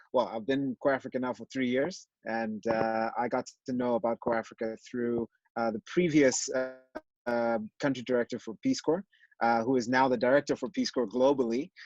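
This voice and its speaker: A man's medium-pitched voice at a moderate pace, dry and close with no echo, over music in the background. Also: ordinary pitch variation. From Malawi. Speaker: nonprofit country director. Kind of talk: interview. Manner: hesitant, many fillers.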